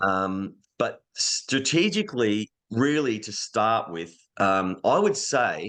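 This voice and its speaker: With an Australian accent and lively intonation, a man speaks against a quiet background. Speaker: voice actor. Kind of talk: podcast interview answer. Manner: casual, conversational.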